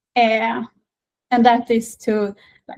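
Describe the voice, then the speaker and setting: Speaking in a Swedish accent, a woman talks at a fairly slow pace with a fairly high pitch and a monotone, flat intonation. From northern Sweden. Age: 20s. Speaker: patient advocate. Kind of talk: interview. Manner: halting, many fillers.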